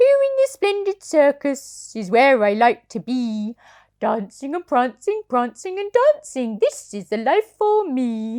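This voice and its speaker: Pitching her voice high, the woman performs a put-on character voice and delivers it at a fairly slow pace. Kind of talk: bedtime story. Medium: read story.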